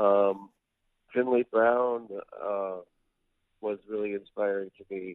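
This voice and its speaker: A man speaks at a very slow pace. His pitch is fairly low. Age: 50s. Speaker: rock singer-songwriter. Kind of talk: casual interview.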